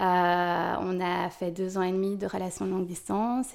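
This female voice sits at a medium pitch. Her tempo is moderate. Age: 30s. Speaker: mother sharing birth story. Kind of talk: testimony. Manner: hesitant, many fillers.

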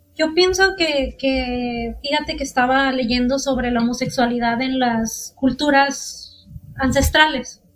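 A woman speaks at a very slow pace in a high voice with ordinary pitch variation and hardly any pauses. Noticeable background noise runs underneath. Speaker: podcast host. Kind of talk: casual chat.

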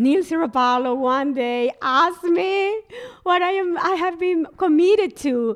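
A woman speaks at a fairly slow pace with lively intonation. Her pitch is extremely high. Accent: Spanish. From Colombia, Barranquilla. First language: Spanish. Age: 40s. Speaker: business coach. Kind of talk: interview guest.

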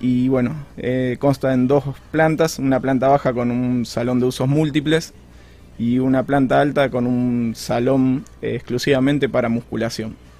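The speaker talks fairly slowly in a monotone, flat intonation, with noticeable background noise behind. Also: man, medium pitch for a man. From Argentina, Santa Fe province (Rosario/Casilda). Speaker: architect. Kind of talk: radio interview.

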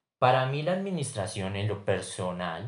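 Very slow and somewhat breathy, a man speaks at medium pitch with very wide pitch swings. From Colombia, Bogotá. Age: 20s. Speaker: business student. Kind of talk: class assignment podcast presentation.

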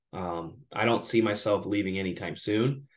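With an American accent, the speaker keeps a fairly even intonation at a moderate pace over a quiet background. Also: man. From southern Illinois, Belleville area. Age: 30s. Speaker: high school basketball coach. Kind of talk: casual interview.

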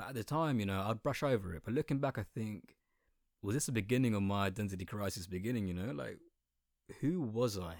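A man with an Essex accent talks at a very fast pace with ordinary pitch variation, on a very clean recording with a silent background. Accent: Essex accent with slight London twang. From southeast England. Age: 20s. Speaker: podcaster. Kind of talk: monologue. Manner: animated.

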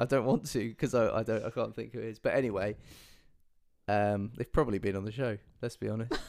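A man at medium pitch speaks with vocal fry and fairly even intonation at a very fast pace, broken by long, frequent pauses. The recording is very clean, with a silent background. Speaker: podcast co-host. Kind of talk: casual chat.

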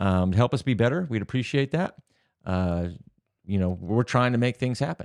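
Recorded dry and close with no echo against a quiet background, a man with a plain, everyday voice talks at medium pitch and a moderate pace with lively intonation. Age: 50s. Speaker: podcast co-host, real estate industry business owner. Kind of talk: casual chat.

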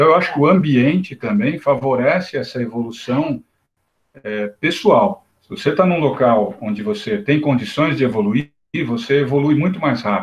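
Somewhat breathy and fairly high in pitch, a man's voice carries lively intonation. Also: moderate pace. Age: 50s. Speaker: spiritist study group participant. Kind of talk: group discussion.

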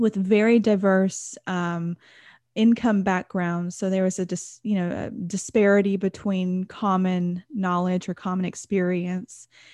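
A woman's plain, everyday voice with an American accent, medium pitch, fairly even intonation and a fairly slow pace, in a dry, close sound with no echo against a quiet background. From Texas. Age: 30s. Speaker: numerology and life coach. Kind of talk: interview about personal trauma.

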